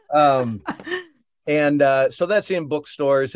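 Against a quiet background, a man with an unremarkable speaking voice talks at a fairly slow pace. The sound is dry and close with no echo, and his pitch varies in an ordinary way. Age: 50s. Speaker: photographer and storyteller. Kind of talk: casual interview.

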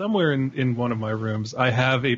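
A man speaks at a fairly quick pace. His voice sounds somewhat breathy. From Northern Virginia, US. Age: 30s. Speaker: film critic and podcaster. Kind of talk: casual chat. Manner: animated.

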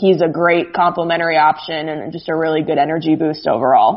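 Speaking fairly quickly with an American accent, a woman has a plain, everyday voice, fairly low in pitch. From Arizona, US (Phoenix). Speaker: sports journalist. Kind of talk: casual chat. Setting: Skype call. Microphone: slightly echoey audio.

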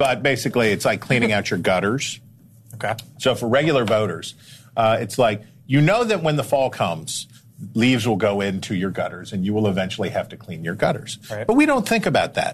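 Here is a normal speaking voice at a fairly quick pace, with ordinary pitch variation. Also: man, medium pitch for a man. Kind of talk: TV news panel discussion.

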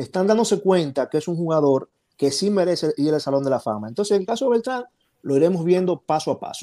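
A man speaks fairly quickly in a high voice with a dark, mellow tone and lively intonation, the sound dry and close with no echo in a very clean recording against a silent background. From Dominican Republic. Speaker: baseball writer and Hall of Fame voter. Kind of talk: panel discussion.

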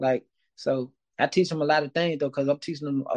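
Very fast and with fairly even intonation, a man speaks at a fairly high pitch. The recording is dry and close, with no echo. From Mississippi, West Point. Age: 30s. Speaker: music producer and author. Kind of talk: casual interview.

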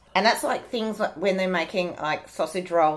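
A woman with an Australian accent, medium pitch, lively intonation and a moderate pace, on a very clean recording with a silent background. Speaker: podcast host and author. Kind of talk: casual chat.

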